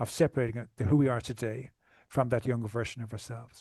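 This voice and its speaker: Against a quiet background, a man rattles along at a very fast pace, keeping his medium pitch in fairly even intonation. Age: 60s. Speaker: trauma recovery coach. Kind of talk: podcast interview. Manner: halting.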